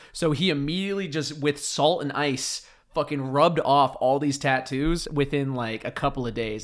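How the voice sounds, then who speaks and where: A man with an American accent has an unremarkable speaking voice, fairly high in pitch, at a moderate pace with hardly any pauses. His loudness swings widely on a very clean recording with a silent background. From US Pacific Northwest island. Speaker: podcast host. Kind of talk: casual chat.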